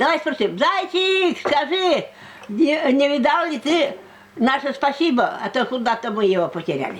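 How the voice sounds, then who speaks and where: A woman's high voice swings very widely in pitch, with noticeable noise in the background. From Komi Republic, Russia. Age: old. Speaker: storyteller and writer. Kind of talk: oral folk tale telling. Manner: unscripted, conversational.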